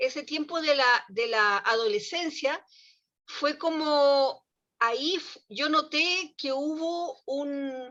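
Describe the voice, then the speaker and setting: In a Chilean accent, a woman speaks at high pitch in a raised, projected voice. Her tone is bright and sharp. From Chile, small town. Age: 70s. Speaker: early childhood education professional. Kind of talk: casual discussion in online talk.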